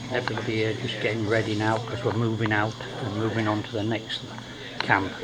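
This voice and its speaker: A medium-pitched man at a moderate pace, with audible room echo and noticeable background noise. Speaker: travel vlogger on survival course. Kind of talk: casual vlog narration. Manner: quiet, hushed.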